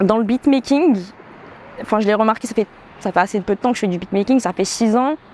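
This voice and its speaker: A woman's fairly high voice at a fairly quick pace, with ordinary pitch variation, long, frequent pauses and noticeable background noise. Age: 20s. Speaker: professional dancer and beatmaker. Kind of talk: interview. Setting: outdoor terrace. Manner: hesitant, many fillers.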